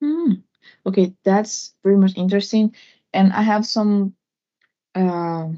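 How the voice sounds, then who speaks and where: A woman speaks at a fairly slow pace with a Portuguese accent, her medium pitch moving with ordinary variation, her loudness very even, and long, frequent pauses breaking up her speech. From Brazil. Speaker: audience member asking questions. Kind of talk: live Q&A session. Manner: hesitant, many fillers.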